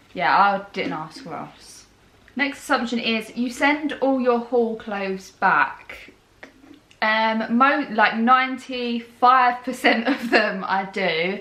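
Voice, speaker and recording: Audible room echo surrounds a woman with a high pitch. She talks very slowly, with ordinary pitch variation. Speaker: lifestyle vlogger. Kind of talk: casual chat. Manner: loud, clear when filming.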